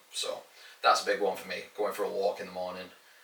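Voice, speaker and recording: Against noticeable background noise, a man speaks with a northern English accent. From northern England. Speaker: fitness coach and podcast co-host. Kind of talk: casual podcast chat.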